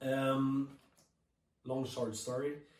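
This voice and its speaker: With a slight French Canadian accent, a man speaks amid audible room echo. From Quebec. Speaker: touring keyboard player. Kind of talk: prepared speech read from notes. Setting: remote video message.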